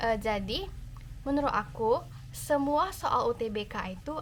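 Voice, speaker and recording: Her voice sits high in pitch. The woman's intonation rises and falls in a lively way. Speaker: YouTuber, university student. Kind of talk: Q&A vlog. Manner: casual, with many fillers.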